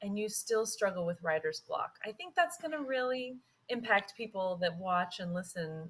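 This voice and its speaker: A woman talks in an ordinary speaking voice. Her pitch variation is ordinary. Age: 40s. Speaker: guest podcast host and writer. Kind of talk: interview chat.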